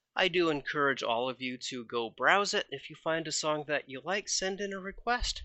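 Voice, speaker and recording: A man with an unremarkable speaking voice uses lively intonation and keeps a moderate pace. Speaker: internet radio host. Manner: relaxed, friendly, folksy and playful with a jokey, conversational tone.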